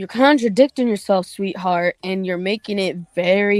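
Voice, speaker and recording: A woman's voice comes through with a dry, close sound and no echo. Music plays in the background. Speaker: online commentator. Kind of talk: livestream rant. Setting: livestream. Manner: monotone.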